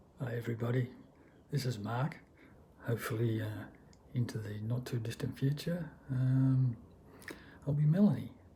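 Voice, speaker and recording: At a moderate pace with long, frequent pauses, a man speaks in a medium pitch with ordinary pitch variation. His tone is dark and mellow, and somewhat breathy. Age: 60s. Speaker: vlogger. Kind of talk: personal testimony vlog. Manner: halting, many fillers.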